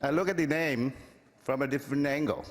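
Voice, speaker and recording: A man with a fairly high voice speaks at a moderate pace amid audible room echo. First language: Vietnamese. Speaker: public commenter. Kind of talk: public comment. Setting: council chamber with audience. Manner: formal.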